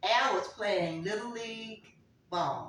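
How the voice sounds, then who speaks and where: A woman with fairly high pitch at a very slow pace, with audible room echo. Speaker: grandmother sharing life stories. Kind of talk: family oral history interview.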